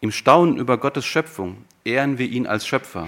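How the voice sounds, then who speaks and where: At a moderate pace, the speaker has an unremarkable speaking voice. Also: man. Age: 50s. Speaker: preacher. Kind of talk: sermon.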